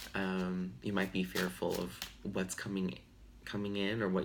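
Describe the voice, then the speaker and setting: In a very deep, low voice, a man speaks at a fairly slow pace amid audible room echo. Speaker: tarot reader. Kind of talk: tarot reading. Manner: casual, hesitant with fillers.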